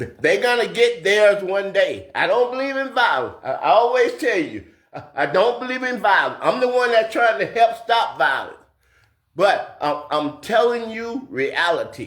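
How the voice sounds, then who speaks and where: A man speaks with an extremely high voice and lively, bouncing intonation. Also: moderate pace. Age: 60s. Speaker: video blogger, social commentator. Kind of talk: political commentary monologue. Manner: repetitive, stammering restarts; impassioned.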